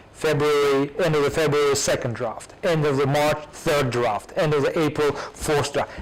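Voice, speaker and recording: A man's fairly high-pitched voice with a Russian accent, fairly even intonation and very even loudness, at a moderate pace with hardly any pauses, over noticeable background noise. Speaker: academic with PhD. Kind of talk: audience Q&A. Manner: hesitant, repetitive.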